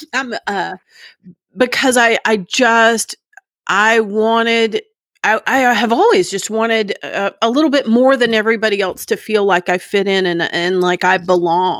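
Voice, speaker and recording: A woman speaks at a fairly slow pace in a normal speaking voice, pitched fairly high, with an American accent, ordinary pitch variation, and a dry, close sound with no echo. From Texas, Dallas area (Plano). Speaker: recovering alcoholic sharing her story. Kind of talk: testimony.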